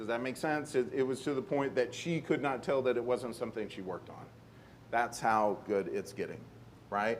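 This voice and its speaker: With audible room echo, a man talks at medium pitch with ordinary pitch variation. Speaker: conference panel speaker. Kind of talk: conference presentation. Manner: fast.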